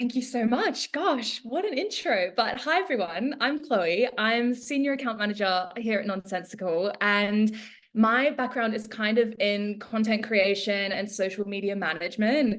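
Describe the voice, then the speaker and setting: The pace is moderate. There are hardly any pauses. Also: woman, fairly high pitch for a woman, ordinary pitch variation. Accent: Australian. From Australia. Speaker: social media account manager. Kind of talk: webinar presentation. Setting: live online webinar.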